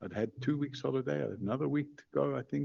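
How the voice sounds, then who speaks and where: This man's medium-pitched voice carries vocal fry and lively intonation. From Ireland. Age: 70s. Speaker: witness. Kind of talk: parliamentary testimony. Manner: halting.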